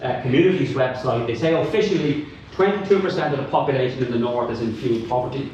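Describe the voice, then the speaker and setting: A man with a Dublin accent at a very fast pace, with ordinary pitch variation, noticeable background noise and audible room echo. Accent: Dublin Irish. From Dublin, Ireland. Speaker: academic and climate activist. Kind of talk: panel talk. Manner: animated.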